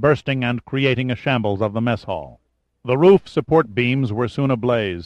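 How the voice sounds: Against a quiet background comes a natural reading voice.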